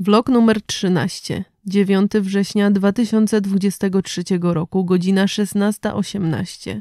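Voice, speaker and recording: A woman speaks very slowly in a medium pitch with a dark, mellow tone and fairly even intonation, hardly pausing. The sound is dry and close with no echo, on a very clean recording with a silent background. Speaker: vlogger reading horror story. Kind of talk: creepy vlog-style scripted horror story, ghost story telling.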